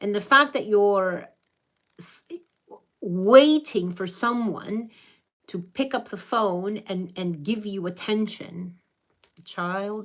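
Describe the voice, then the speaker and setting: Very slow and broken by long, frequent pauses, a woman's speech comes at medium pitch with ordinary pitch variation. Her loudness swings widely. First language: Spanish. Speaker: spiritual reader / channeler. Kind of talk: live stream reading. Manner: animated.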